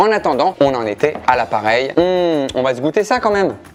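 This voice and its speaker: Very wide pitch swings at a fairly slow pace over noticeable background noise. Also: man. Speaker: cooking show host. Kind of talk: cooking tutorial. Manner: animated.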